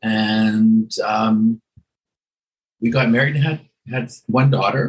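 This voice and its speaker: Somewhat breathy, the speaker talks at a fairly slow pace with a Canadian accent. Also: man. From western Canada (Edmonton, Alberta). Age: 70s. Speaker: hairdresser. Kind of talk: interview.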